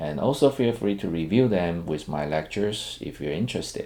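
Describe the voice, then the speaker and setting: A man with a dark, mellow tone, lively intonation and a non-native accent. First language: not English. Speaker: programming teacher, software engineer. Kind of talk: lecture. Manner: halting, many fillers.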